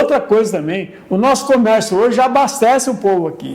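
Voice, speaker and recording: There is audible room echo and noticeable background noise. A man talks at a moderate pace with a high pitch and lively intonation. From São Paulo, Brazil. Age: 70s. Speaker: local elder interviewee, former notary. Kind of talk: documentary interview. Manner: repetitive filler-heavy, frequent 'entendeu?'.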